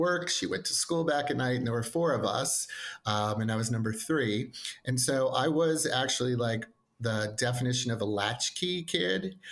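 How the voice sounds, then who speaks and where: A man with an American accent at a moderate pace, lively intonation and very even loudness over noticeable background noise. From New York, Long Island (Nassau-Queens border). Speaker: educational consultant. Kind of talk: podcast interview.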